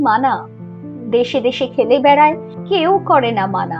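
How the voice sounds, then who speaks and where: Over music in the background, a woman talks with lively intonation. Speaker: poetry reciter. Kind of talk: poetry reading. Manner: soulful, nostalgic.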